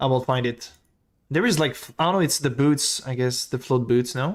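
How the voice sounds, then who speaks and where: Speech comes at a moderate pace. A French accent is heard. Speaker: video game streamer. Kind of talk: live stream chat. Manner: casual, animated.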